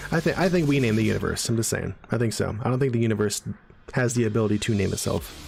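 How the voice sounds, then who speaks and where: A man talks at a very fast pace in a medium pitch, with vocal fry. His loudness stays very even and his pitch varies in an ordinary way. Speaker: streamer and speech therapist. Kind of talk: live stream chat. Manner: cluttered speech.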